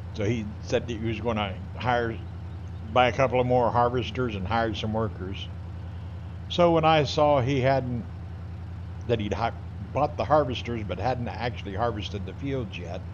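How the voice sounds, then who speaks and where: With long, frequent pauses, a man speaks at a moderate pace and medium pitch, his voice somewhat breathy, as the room adds an audible echo. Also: ordinary pitch variation. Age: 60s. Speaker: gaming streamer, Army veteran. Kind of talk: casual chat while live-streaming a game.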